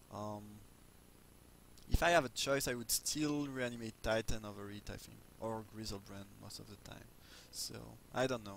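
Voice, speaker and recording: A man speaks at a medium pitch with a non-native accent. His loudness swings widely, and he takes long, frequent pauses. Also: ordinary pitch variation, moderate pace. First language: not English. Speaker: video game commentator. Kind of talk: gameplay commentary. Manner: halting, many fillers. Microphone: low volume, poor mic.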